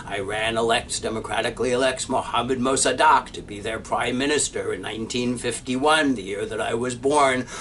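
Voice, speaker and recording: A man with an American accent talks fairly quickly at a medium pitch, with fairly even intonation and hardly any pauses. Noticeable background noise and audible room echo come through. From United States. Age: 60s. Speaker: professor. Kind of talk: lecture.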